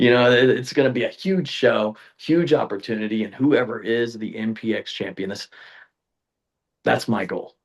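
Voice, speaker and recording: A man speaks in a plain, everyday voice at medium pitch. The pace is moderate, and the background is quiet. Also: ordinary pitch variation. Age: 20s. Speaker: pro wrestler. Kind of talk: casual interview chat.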